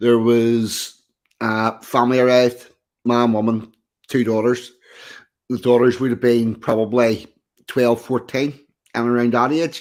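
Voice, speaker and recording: A man with a strong Belfast accent talks at medium pitch and a fairly slow pace. His intonation is monotone and flat, with long, frequent pauses. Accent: broad Belfast. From Northern Ireland, East Belfast. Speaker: podcast guest. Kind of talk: casual chat.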